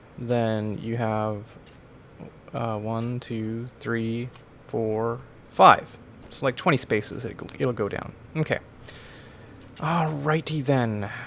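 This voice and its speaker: Very slow pace broken by long, frequent pauses. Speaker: gaming YouTuber. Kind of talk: let's play commentary. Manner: mumbling; humming to self.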